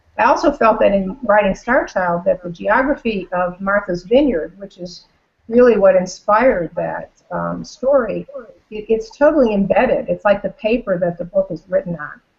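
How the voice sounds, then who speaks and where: An unremarkable speaking voice from a woman, medium in pitch, at a moderate pace, with lively intonation and big swings in loudness. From North Carolina and Buffalo, New York. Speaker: author. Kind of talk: casual chat. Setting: video call.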